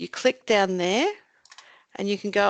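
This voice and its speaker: A woman with an Australian accent talks at a moderate pace and medium pitch, her pitch varying in an ordinary way, in a dry, close recording with no echo. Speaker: mental health commission staff presenter. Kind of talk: webinar presentation with screen demo. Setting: online webinar. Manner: casual, self-narrating.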